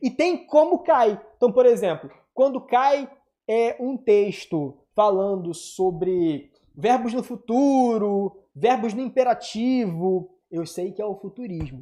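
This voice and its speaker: At a very slow pace, a man speaks with a high voice and a dark, mellow tone. His intonation is lively. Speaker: teacher. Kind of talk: online lesson. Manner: animated.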